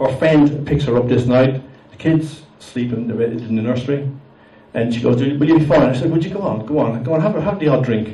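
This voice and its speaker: A man with an Irish accent amid noticeable background noise. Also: medium pitch for a man, ordinary pitch variation. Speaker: amateur stand-up comedian. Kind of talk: live stand-up comedy set. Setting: live comedy venue with audience.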